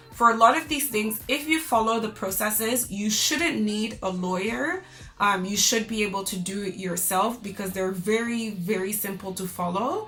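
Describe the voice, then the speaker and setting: With a Canadian accent, a woman talks at a moderate pace with hardly any pauses, her pitch fairly high and intonation lively. Noticeable background noise sits behind her. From Canada. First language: French. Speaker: lifestyle vlogger. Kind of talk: vlog monologue to camera. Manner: casual, chatty.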